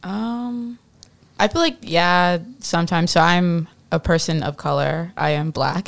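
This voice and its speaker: In a plain, everyday voice, a woman with an American accent speaks fairly slowly at a fairly low pitch with ordinary pitch variation. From US Midwest. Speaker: panelist. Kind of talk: panel discussion. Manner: casual, filler words.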